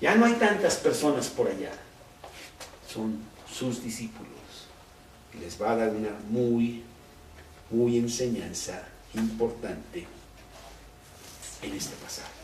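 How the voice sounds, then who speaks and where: A man speaks at a very slow pace with long, frequent pauses and big swings in loudness, amid audible room echo and noticeable background noise. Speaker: Bible teacher. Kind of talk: Bible study. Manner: conversational.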